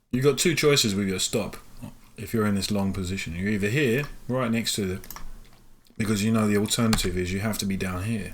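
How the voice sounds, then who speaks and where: Amid audible room echo, a man with a fairly low pitch and ordinary pitch variation speaks at a fairly quick pace. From London, England. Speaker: day trader and live trading stream host. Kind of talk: live trading commentary. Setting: live stream.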